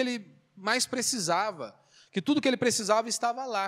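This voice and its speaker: A man talks at a moderate pace. The recording is very clean and dry, close with no echo, over a silent background. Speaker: pastor. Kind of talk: sermon. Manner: conversational, frequent filler né and self-corrections.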